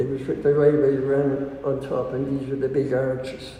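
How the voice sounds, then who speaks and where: A man speaks with a Dublin accent at medium pitch. Room echo is audible. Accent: Dublin Irish. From Ireland, Dublin. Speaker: interviewee. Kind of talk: oral history interview. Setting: recorded interview. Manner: halting.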